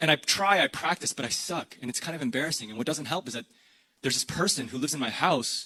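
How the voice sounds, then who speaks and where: Speaking very fast in a General American accent, a man sounds animated, with ordinary pitch variation and a dry, close sound with no echo. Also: fairly high pitch for a man. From US Midwest, Illinois. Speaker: pastor. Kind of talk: sermon.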